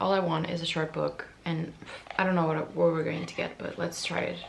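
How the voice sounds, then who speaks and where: A woman talks at a very fast pace, with audible room echo and noticeable background noise. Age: 20s. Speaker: booktuber. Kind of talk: casual vlog talk. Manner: animated.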